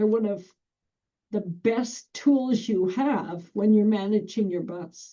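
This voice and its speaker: Loud and dark, mellow in tone, a woman talks at a very slow pace in a fairly high pitch with ordinary pitch variation. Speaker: school bus driver trainer. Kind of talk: training presentation. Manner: projecting, can get loud.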